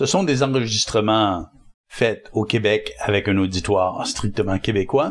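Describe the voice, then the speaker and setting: A man speaks at a fairly slow pace with a fairly low pitch. His loudness stays very even, with ordinary pitch variation. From Quebec. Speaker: spiritual teacher and author. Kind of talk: interview conversation.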